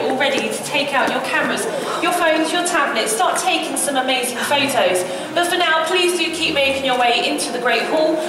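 A woman talks at a fairly quick pace with ordinary pitch variation. Audible room echo and loud background noise fill the recording. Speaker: tour guide. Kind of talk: guided tour commentary. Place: hall. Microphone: camera far.

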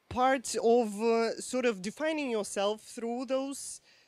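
With lively intonation, a woman speaks at a moderate pace in a dry sound with no echo. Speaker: presenter. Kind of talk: presentation talk. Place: hall. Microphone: handheld.

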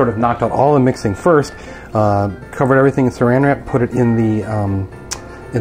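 A man speaks at a fairly quick pace with ordinary pitch variation, and music is clearly audible in the background. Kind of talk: casual vlog chat. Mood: relaxed, chatty, some laughs. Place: kitchen.

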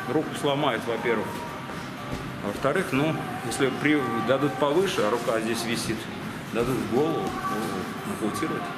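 Music plays in the background as a man speaks with long, frequent pauses. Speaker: boxing coach. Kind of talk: tutorial explanation. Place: gym.

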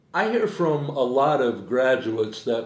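With audible room echo, a man speaks using ordinary pitch variation. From Iowa, US. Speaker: university teacher. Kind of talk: promotional interview. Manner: hesitant, with fillers. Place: office.

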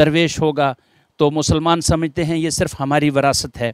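In a quiet background with dry sound and no echo, a man speaks fairly slowly in a fairly high pitch with monotone, flat intonation. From Poonch district, Jammu and Kashmir; Jammu and Kashmir. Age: 50s. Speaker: police officer; interview guest. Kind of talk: interview testimony. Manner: formal. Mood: reverent, measured. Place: garden. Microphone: handheld.

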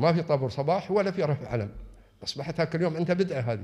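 A man's voice has a dark, mellow tone and is somewhat breathy. His intonation is lively against a quiet background. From UAE. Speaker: religious affairs official; invited lecturer. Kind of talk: lecture. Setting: lecture hall with audience. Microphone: podium.

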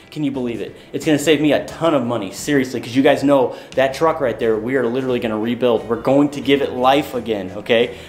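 Over faint music in the background, a man talks at a very fast pace with hardly any pauses. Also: medium pitch for a man. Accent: American. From Michigan. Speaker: automotive YouTuber; automotive vlogger. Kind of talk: casual vlog. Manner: animated.

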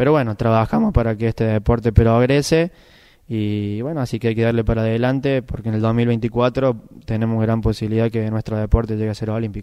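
Against a quiet background, a man speaks at a fairly quick pace in a dark, mellow tone with fairly even intonation. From Argentina, Córdoba province countryside. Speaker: bocce world champion. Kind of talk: interview. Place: hall. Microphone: handheld.

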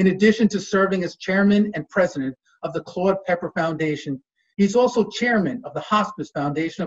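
A man's high voice at a fairly quick pace, with ordinary pitch variation and a quiet background. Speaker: master of ceremonies. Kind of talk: formal event hosting. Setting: video call. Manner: formal. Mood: warm, friendly. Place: home room. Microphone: webcam.

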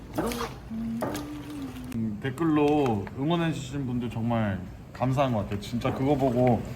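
Over music in the background, a man speaks at a very slow pace and medium pitch. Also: ordinary pitch variation. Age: 20s. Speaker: cafeteria restaurant owner. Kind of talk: casual cooking vlog narration.

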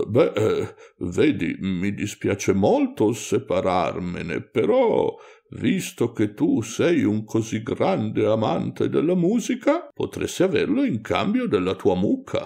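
A man does a put-on character voice at a fairly slow pace against a quiet background. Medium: read story. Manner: sly, hesitant, falsely reluctant.

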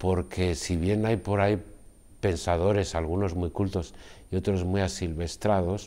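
The tone is dark and mellow. It belongs to a man whose pitch is very deep and low. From Basque Country, Spain (Guipúzcoa). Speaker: novelist and poet. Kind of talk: interview. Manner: halting. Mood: calm, reflective. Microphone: lapel.

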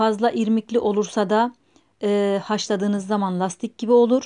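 Against a quiet background, a woman speaks at a fairly slow pace with a dark, mellow tone and fairly even intonation. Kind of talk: tutorial. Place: kitchen.

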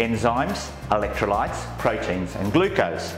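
A man talks at a moderate pace over clear music in the background. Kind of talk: guided tour presentation.

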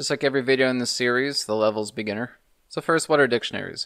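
Amid quiet surroundings, a man talks with ordinary variation in pitch. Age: 30s. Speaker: programming tutorial youtuber. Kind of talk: tutorial. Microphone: studio mic.

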